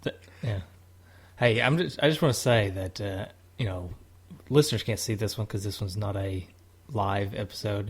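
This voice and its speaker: A fairly low-pitched, somewhat breathy man with an American accent, at a moderate pace with ordinary pitch variation and long, frequent pauses. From Tennessee. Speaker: podcast co-host. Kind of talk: casual chat.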